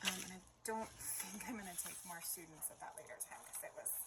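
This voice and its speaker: Noticeable background noise sits behind this recording. A woman talks at a fairly quick pace. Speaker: crafter and tutor. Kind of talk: casual craft tutorial chat. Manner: chatty, frequent um fillers.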